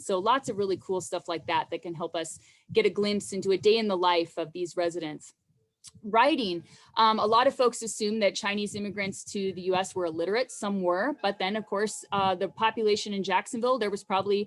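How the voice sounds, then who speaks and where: Speaking at a fairly quick pace, a woman uses a medium pitch with ordinary pitch variation. The recording is very clean, with a silent background. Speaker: archaeologist. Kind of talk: lecture. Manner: fast.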